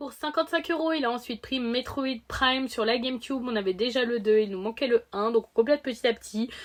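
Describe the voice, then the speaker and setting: This woman has a high pitch with ordinary variation. She talks at a fairly quick pace. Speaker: video game collector youtuber. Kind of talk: casual haul video.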